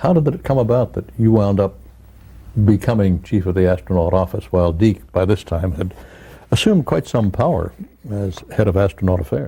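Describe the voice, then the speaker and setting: Somewhat breathy and fairly low-pitched, a man talks at a fairly quick pace with lively intonation. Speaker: interviewer. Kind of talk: interview question.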